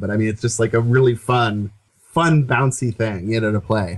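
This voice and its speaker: A man talks at a fairly quick pace in an American accent. His voice is somewhat breathy, with a medium pitch. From Seattle, US Pacific Northwest. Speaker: music podcast co-host. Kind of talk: casual chat.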